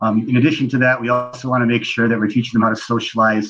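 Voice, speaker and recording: A man's medium-pitched, monotone, flat voice with a slight Canadian accent. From Canada. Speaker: preschool owner. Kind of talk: interview. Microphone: connection breaking up.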